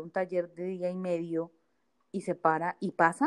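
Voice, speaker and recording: A woman speaks at a fairly low pitch. The sound is dry and close, with no echo. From Bogotá, Colombia. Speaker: stand-up comedian and plus-size model. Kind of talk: casual chat. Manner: animated.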